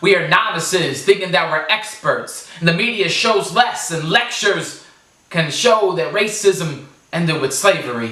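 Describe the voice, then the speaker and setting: Raising and projecting his voice, a man with a high pitch talks at a fairly slow pace with lively intonation amid noticeable background noise. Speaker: spoken word poet. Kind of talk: spoken word poetry performance.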